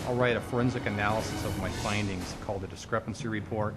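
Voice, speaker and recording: A man speaks at a very fast pace with fairly even intonation. Music plays in the background. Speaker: private investigator; former police officer. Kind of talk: interview answer.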